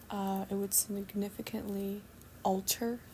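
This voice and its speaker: In a calm, dark and mellow tone, a woman speaks somewhat breathily at medium pitch. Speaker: spiritual channeler doing readings. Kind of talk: channeled message reading. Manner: slow, soft-spoken; calm, cozy.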